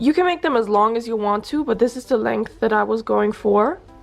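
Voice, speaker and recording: A woman's voice with music in the background. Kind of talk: casual DIY tutorial talk.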